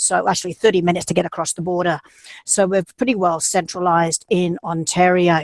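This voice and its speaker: The sound is dry and close with no echo as a woman speaks at a fairly low pitch with fairly even intonation. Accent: Australian. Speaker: university admissions representative. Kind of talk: presentation.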